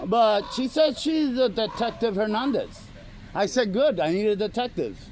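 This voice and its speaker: This man has a high pitch and talks at a moderate pace. His pitch varies in an ordinary way. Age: 60s. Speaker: first amendment auditor. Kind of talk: confrontational conversation with police. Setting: police station lobby. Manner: halting, repetitive.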